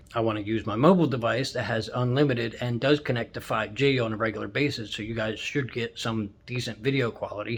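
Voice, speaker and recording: A man rushes along at a very fast pace with hardly any pauses, his medium-pitched voice somewhat breathy. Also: fairly even intonation. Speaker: YouTuber and truck driver. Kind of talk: casual vlog. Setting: hotel room. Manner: rambling.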